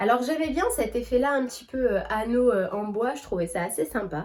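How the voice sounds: Her slightly mellow tone and lively intonation carry this woman's speech along at a moderate pace.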